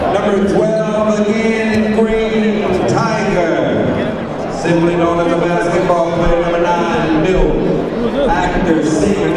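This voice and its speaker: Over loud background noise and audible room echo, a man speaks very slowly with ordinary pitch variation. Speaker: arena announcer. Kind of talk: player introductions. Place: stadium. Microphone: pa.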